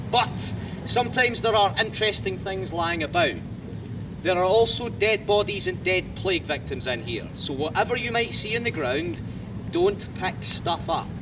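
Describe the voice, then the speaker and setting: Through noticeable background noise, a high-pitched man speaks at a moderate pace with lively intonation. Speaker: tour guide. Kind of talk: guided tour talk. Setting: outdoors in a graveyard. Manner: loud.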